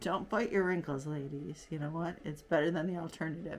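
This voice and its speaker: Animated tone from a woman with a very deep, low pitch, a fairly quick pace and ordinary pitch variation. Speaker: beauty vlogger. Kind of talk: casual makeup tutorial chat.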